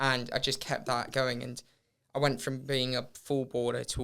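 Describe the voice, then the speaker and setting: Delivering his words at a fairly quick pace, a man with a medium pitch uses monotone, flat intonation, his tone bright and sharp with vocal fry. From Hong Kong. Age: 20s. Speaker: professional runner. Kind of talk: podcast interview.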